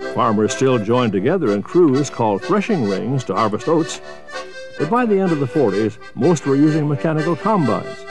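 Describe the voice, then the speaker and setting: With music in the background, a man of medium pitch speaks at a fairly quick pace with very wide pitch swings and very even loudness. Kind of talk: documentary narration.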